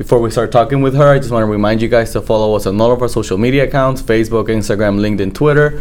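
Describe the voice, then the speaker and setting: A man talks at a very fast pace. Noticeable background noise can be heard behind him. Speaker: podcast host. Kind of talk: interview for a chamber of commerce show. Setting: studio.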